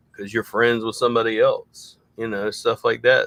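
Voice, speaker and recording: A man with a Southern US accent at a fairly quick pace, in a dry, close sound with no echo. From US South. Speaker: SEO consultant for junk removal businesses. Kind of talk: casual livestream chat.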